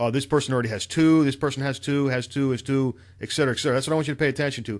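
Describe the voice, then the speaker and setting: On a very clean recording with a silent background, a man talks at a very fast pace in an animated tone, his medium pitch showing ordinary variation. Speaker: online marketer. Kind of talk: screen-share tutorial.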